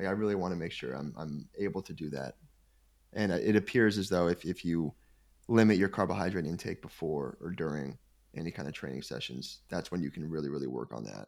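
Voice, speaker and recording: A man with a very deep, low pitch and vocal fry talks at a fairly quick pace with lively intonation. The recording is very clean, with a silent background. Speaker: sports nutrition company executive. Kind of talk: podcast interview.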